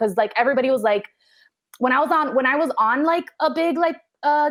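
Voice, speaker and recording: With a Spanish accent, a woman talks at a very fast pace with lively intonation. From Miami. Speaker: actor and comedian. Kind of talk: casual chat. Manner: fast, filler-heavy.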